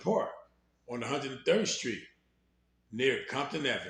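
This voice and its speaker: A somewhat breathy man with an American accent, lively intonation, a moderate pace, and audible room echo. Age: 60s. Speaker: former gang member telling his life story. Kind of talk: storytelling.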